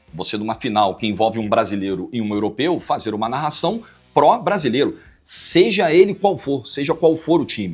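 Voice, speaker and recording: Music plays behind a man whose pitch swings very widely as he talks at a moderate speed. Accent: Rio de Janeiro. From Rio de Janeiro. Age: 40s. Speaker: football commentator. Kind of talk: interview answer.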